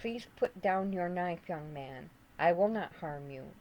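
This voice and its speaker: A put-on character voice at a middle pitch. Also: fairly slow pace. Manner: kind, reassuring.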